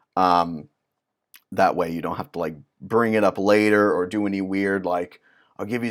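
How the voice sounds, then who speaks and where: In a very clean recording with a silent background, a man with an ordinary speaking voice and fairly low pitch talks at a moderate pace with fairly even intonation. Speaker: music business consultant. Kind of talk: tutorial. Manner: casual, with many fillers.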